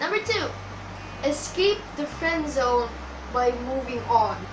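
Over music in the background, a woman speaks in a raised, projected voice at a fairly slow pace with ordinary pitch variation. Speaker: vlogger. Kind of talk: casual vlog chat. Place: home room. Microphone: webcam.

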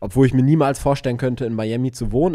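The man's voice has a dark, mellow tone. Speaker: podcast co-host, business mentor. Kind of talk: casual chat. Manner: hesitant with many fillers.

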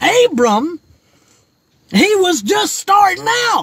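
Against a quiet background with a dry sound and no echo, a man speaks with very wide pitch swings. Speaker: preacher. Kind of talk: sermon. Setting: outdoors by his car, livestream. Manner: animated. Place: car. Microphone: phone near.

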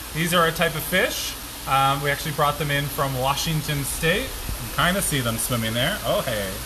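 A man speaks with a fairly high pitch. Background noise is noticeable. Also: ordinary pitch variation, moderate pace. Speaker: trout farmer. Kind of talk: casual live video tour. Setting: outdoors on a farm.

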